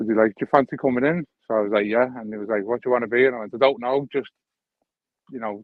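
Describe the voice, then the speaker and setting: A man at medium pitch with a Liverpool accent, very fast pace and fairly even intonation. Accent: Scouse (Liverpool). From Liverpool, England. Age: 40s. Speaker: metal detecting YouTuber. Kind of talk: casual chat.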